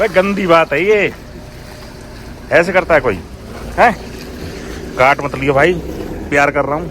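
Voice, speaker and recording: Against noticeable background noise, a man with a fairly high pitch talks at a fairly slow pace with long, frequent pauses. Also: ordinary pitch variation. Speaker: travel vlogger. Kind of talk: casual travel vlog. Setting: outdoors. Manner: animated.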